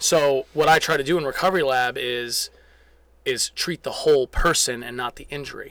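A man with an unremarkable speaking voice talks at a fairly high pitch and a moderate pace, with ordinary pitch variation. His loudness swings a lot, and the sound is dry and close with no echo. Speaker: athletic trainer and manual therapist. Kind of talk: casual podcast interview.

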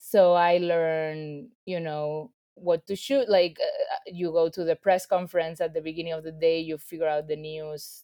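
A woman speaks with a Spanish accent at a moderate pace. Her pitch is fairly low. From Spain, Ibiza. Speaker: filmmaker. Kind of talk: interview.

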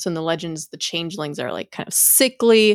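A woman speaks in an ordinary speaking voice at a fairly low pitch with ordinary pitch variation. The sound is dry and close with no echo, and the recording is very clean with a silent background. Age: 30s. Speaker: podcast co-host. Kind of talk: casual chat.

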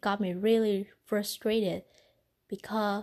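With a non-native accent, a woman speaks at a medium pitch in a dark, mellow tone over a quiet background. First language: not English. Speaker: podcaster. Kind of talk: casual monologue.

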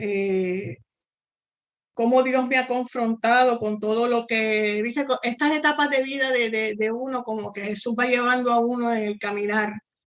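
An unremarkable speaking voice from a woman, fairly high in pitch, fairly slow, with fairly even intonation. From Puerto Rico. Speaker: missionary. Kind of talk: interview testimony.

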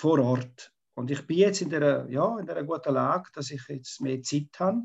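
Against a quiet background, a man talks at a fairly slow pace and a fairly high pitch, somewhat breathy, with ordinary pitch variation. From Switzerland, Graubünden. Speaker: local politician, retired teacher. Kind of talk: debate. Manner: halting.

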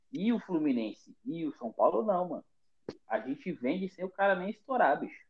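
Man at a high pitch, very wide pitch swings, moderate pace. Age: 20s. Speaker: football podcast host. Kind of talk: casual chat. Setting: remote call from home.

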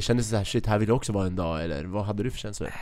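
A man speaks with lively intonation. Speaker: podcast host. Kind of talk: casual chat, interview. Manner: informal, chatty.

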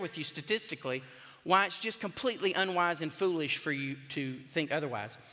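A man with a Southern US accent raises and projects his voice in a bright, sharp tone. His intonation is lively and his pace moderate. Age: 50s. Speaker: pastor. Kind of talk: sermon. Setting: church.

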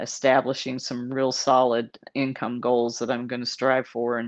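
Against a quiet background, a woman with an American accent speaks at a moderate pace in a very deep, low pitch with monotone, flat intonation. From Texas, San Antonio. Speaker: veteran entrepreneur and show host. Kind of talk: casual vlog monologue. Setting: hotel room. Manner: casual, with frequent fillers.

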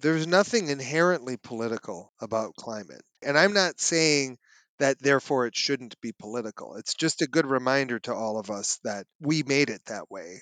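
A man speaks in a plain, everyday voice at medium pitch, with lively intonation, big swings in loudness, a moderate pace and hardly any pauses. The sound is dry and close with no echo, over a quiet background. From Minnesota. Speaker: climate scientist. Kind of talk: interview.

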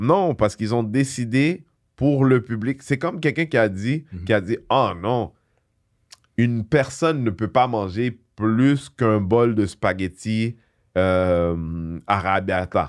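Lively intonation in a normal speaking voice, in a very clean recording with a silent background. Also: man. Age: 40s. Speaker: comedian. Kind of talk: casual chat.

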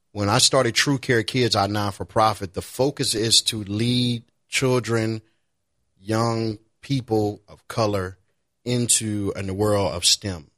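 A man with medium pitch speaks at a fairly slow pace, his intonation fairly even and his loudness swinging widely, in an ordinary speaking voice. The recording is very clean and the background silent. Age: 30s. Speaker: IT professional and nonprofit founder. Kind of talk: casual chat.

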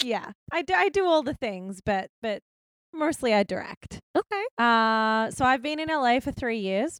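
A woman with an Australian accent, high-pitched, with very wide pitch swings at a fairly slow pace, in a dry, close sound with no echo. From Melbourne, Australia. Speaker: guest. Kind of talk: casual chat.

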